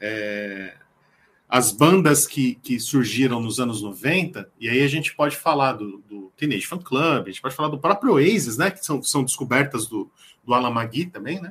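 His intonation is lively. This man's voice sits at a medium pitch. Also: moderate pace, big swings in loudness. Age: 40s. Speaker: music enthusiast, social media music commentator. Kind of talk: casual chat. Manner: halting, frequent repetitions.

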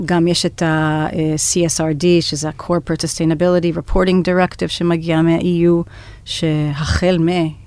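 Her intonation stays monotone and flat. This woman speaks with a fairly low pitch at a moderate pace. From United States. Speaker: venture capital partner. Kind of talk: interview. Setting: studio.

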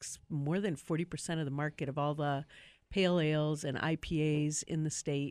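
On a very clean recording with a silent background, a woman with a Wisconsin accent talks at a moderate pace in a very deep, low voice with fairly even intonation. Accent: Upper Midwest (Wisconsin). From Milwaukee, Wisconsin. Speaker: brewery owner. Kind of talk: casual chat.

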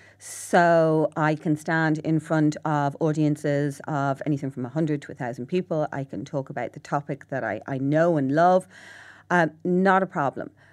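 In a Dublin accent, a woman with a very deep, low pitch speaks at a moderate pace over a very clean recording with a silent background. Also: ordinary pitch variation. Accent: Irish (Dublin). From Ireland. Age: 40s. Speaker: psychotherapist and author. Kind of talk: interview. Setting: studio.

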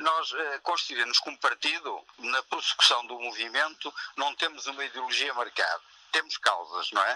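The recording of a man at a moderate pace has a dry, close sound with no echo. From Portugal, Maia (north). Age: 60s. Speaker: founding member of a new political party. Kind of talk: phone interview.

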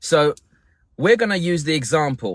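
Here a man is talking. His pitch swings very widely. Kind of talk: guided meditation.

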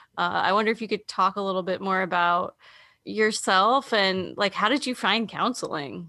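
In a very clean recording with a silent background, a woman speaks in a bright, sharp tone with vocal fry, ordinary pitch variation and very even loudness. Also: medium pitch for a woman, moderate pace. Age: 40s. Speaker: podcast host, university counseling staff. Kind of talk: casual interview.

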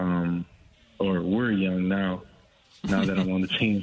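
In an American accent, a man speaks with a low pitch.

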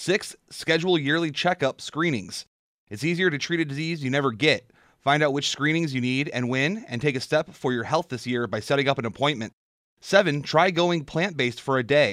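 The pace is fairly quick, with ordinary pitch variation, in a plain, everyday voice. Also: man, fairly high pitch for a man, very clean recording, silent background. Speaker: sports reporter and co-host. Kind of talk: sports news reading and casual radio chat. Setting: radio studio.

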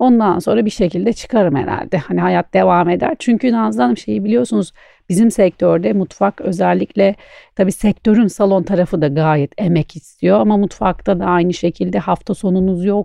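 Her pitch sits fairly low yet swings very widely as this woman talks at a moderate pace with very even loudness. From Istanbul, Turkey. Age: 40s. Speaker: chef. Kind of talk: interview.

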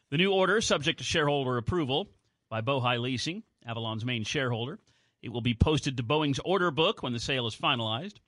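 A man's medium-pitched voice with an American accent, very fast and lively in intonation, against a quiet background. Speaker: radio co-host and sports announcer. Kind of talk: radio newscast and sports update.

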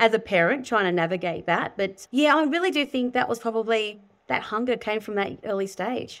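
With an Australian accent, a woman talks at a fairly quick pace in a fairly high voice full of lively intonation. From Sydney, Australia. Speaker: buyer's agent and property educator. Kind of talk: interview.

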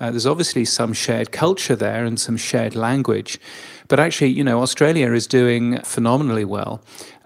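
A British accent comes through. The delivery is fairly quick. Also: man, medium pitch for a man, ordinary pitch variation. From Britain. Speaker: radio and audio industry consultant. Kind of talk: interview.

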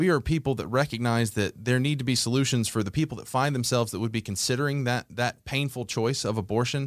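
An American-accented man speaks at a fairly quick pace with a medium pitch and ordinary pitch variation. He has an unremarkable speaking voice. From Georgia, US South (Conyers, east of Atlanta). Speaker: executive director of a faith-based conservative advocacy group. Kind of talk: interview. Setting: studio.

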